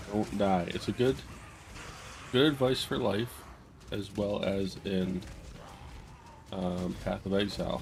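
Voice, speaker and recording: A soft-spoken man talks at a very slow pace with long, frequent pauses. His pitch is fairly low, with ordinary variation. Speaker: gaming streamer. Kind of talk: gameplay commentary. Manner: halting.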